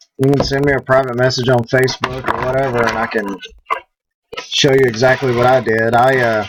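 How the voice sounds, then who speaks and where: A Southern US accent at a moderate pace. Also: man. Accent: southern twang. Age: 50s. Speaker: prop maker. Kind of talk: live stream chat. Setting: live stream.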